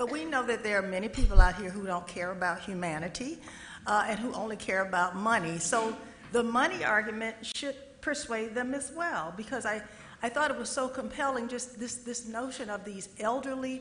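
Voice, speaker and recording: A woman's fairly high voice with lively intonation, a moderate pace, big shifts in loudness and audible room echo. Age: 60s. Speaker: panel moderator. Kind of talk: moderated Q&A. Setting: stage with audience.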